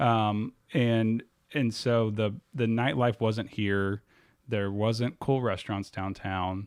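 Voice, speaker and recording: An ordinary speaking voice from a man with an American accent, fairly low in pitch with ordinary pitch variation, at a fairly slow pace, in a very clean recording with a silent background. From US South, Pensacola, Florida. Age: 30s. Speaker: nonprofit and downtown executive director. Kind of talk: podcast interview.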